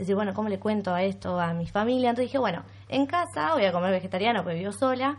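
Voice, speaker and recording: The woman talks at a very fast pace. Behind her the background is quiet. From Argentina, Bariloche. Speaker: vegan content creator. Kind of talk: casual chat.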